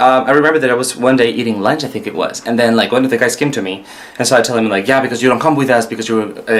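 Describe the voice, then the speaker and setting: Intonation stays fairly even as a man speaks at medium pitch. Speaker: vlogger. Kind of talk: casual talk to camera.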